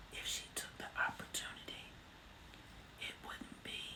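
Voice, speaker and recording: A woman whispers at a fairly slow pace over noticeable background noise. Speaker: ASMR creator. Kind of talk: ASMR whispered storytelling with gum chewing. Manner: whispered, soft-spoken.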